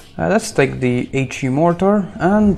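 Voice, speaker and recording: A very slow pace against noticeable background noise. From Malta. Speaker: gaming streamer. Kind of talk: live gameplay commentary. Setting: live stream.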